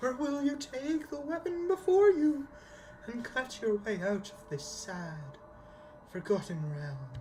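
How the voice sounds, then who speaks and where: A woman's put-on character voice against clear background noise. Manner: solemn, ominous.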